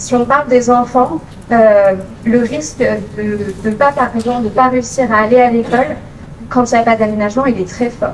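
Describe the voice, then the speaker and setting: A woman with a high voice speaks at a moderate pace and fairly even intonation. Noticeable background noise and audible room echo come through. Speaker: occupational therapist. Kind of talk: conference talk. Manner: many filler hesitations (euh).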